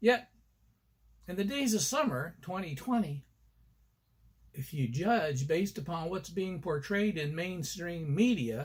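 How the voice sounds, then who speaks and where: A man's passionate voice at a fairly slow pace, with very wide pitch swings. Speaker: columnist and motivational coach. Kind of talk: narration of own column, conversational. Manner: conversational, passionate.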